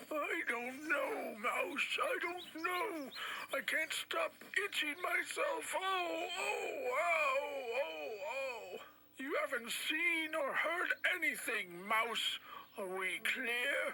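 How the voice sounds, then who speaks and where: A cartoonish character voice speaks very slowly at a high pitch. Clear background noise can be heard. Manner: haughty, gruff.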